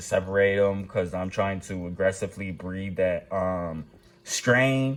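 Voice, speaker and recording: The pace here is moderate, and the pitch varies in an ordinary way. It is an ordinary speaking voice. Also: man. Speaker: aquarium hobbyist vlogger. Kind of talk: casual video tutorial. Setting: home, early morning recording. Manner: casual, filler-heavy.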